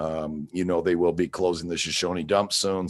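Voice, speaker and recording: In an American accent, a man speaks at a moderate pace with a very deep, low pitch and monotone, flat intonation against a quiet background. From Seattle, US Pacific Northwest. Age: 60s. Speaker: waste company manager. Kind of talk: sales pitch. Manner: halting.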